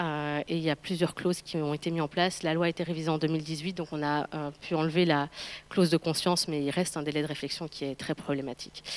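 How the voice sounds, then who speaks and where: Her pitch very deep and low, a woman speaks at a very fast pace in a monotone, flat intonation. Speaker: public health practitioner at an NGO. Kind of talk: conference presentation. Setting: round table with audience.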